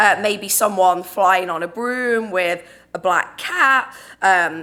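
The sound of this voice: The voice has a bright, sharp tone, an English accent and ordinary pitch variation. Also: woman. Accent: British, English.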